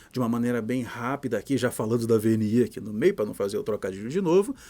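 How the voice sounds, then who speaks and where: A man with a medium pitch talks with lively intonation. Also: very clean recording, silent background. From Brazil, Pará. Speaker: physician lecturer. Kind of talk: lecture. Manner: casual, animated.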